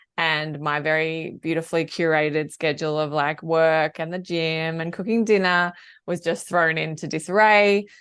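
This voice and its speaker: With an Australian accent, a woman of fairly low pitch speaks at a moderate pace and fairly even intonation against a quiet background. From Australia, Melbourne. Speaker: work-life balance coach. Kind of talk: podcast interview.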